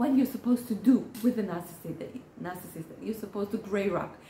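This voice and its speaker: A woman's medium-pitched voice with fairly even intonation, over noticeable background noise. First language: Hebrew. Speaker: therapist. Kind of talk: educational talk. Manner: halting, many fillers.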